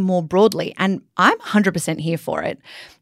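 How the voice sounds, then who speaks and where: A woman speaks at medium pitch with an Australian accent. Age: 20s. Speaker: podcast co-host. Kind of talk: casual chat.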